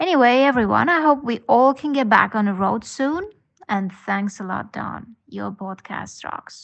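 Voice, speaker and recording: Speaking in an Estonian accent at a fairly slow pace, a woman with a fairly high pitch uses lively intonation and big swings in loudness. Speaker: podcast listener. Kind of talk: voice message.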